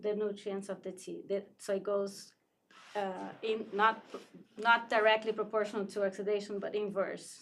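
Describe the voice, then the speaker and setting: Monotone, flat intonation from a woman at a medium pitch. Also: moderate pace. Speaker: tea shop owner. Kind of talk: casual interview.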